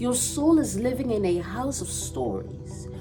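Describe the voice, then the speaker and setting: With music playing behind her, a woman talks at a fairly slow pace. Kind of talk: poetry reading.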